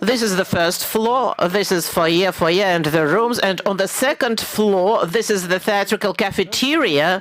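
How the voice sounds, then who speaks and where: A woman of medium pitch speaks at a fairly slow pace with ordinary pitch variation, with noticeable background noise behind her. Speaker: architect presenting a competition entry. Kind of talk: presentation answering jury question.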